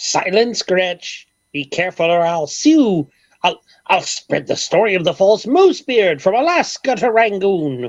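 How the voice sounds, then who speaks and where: A female-sounding voice at a middle pitch with very wide pitch swings speaks at a fairly slow pace, captured with a dry, close sound with no echo. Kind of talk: 1930s radio comedy. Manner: theatrical, blustering, grandiloquent.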